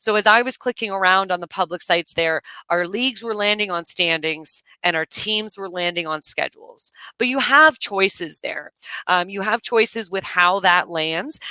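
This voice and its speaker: A woman with a normal speaking voice talks at a moderate pace and medium pitch, with ordinary pitch variation and a dry, close sound with no echo. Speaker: software webinar presenter. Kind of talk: tutorial. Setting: live webinar screen share. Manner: casual, many filler words.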